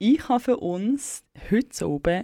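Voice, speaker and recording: A woman with lively intonation at a very slow pace, on a very clean recording with a silent background. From Switzerland, German-speaking, bilingual with English. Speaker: community radio host. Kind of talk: late-night radio chat. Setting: dark radio studio.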